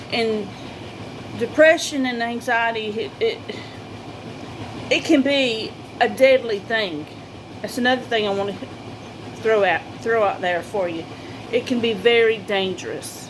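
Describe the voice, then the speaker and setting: In a room with audible echo and noticeable background noise, a woman speaks fairly slowly with a fairly high pitch, ordinary pitch variation and long, frequent pauses. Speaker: vlogger. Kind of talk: personal talk to camera. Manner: halting, repetitive.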